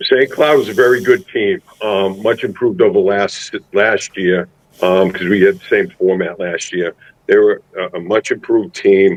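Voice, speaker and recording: A man speaks with a Massachusetts accent. The sound is dry and close, with no echo. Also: moderate pace. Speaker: high school football head coach. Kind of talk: interview. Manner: halting with many repeated words.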